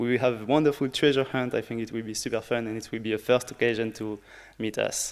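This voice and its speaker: At a fairly quick pace, a man talks with a medium pitch and fairly even intonation. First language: French. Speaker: early career researcher, workshop organizer. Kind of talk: conference workshop introduction. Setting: conference room with audience.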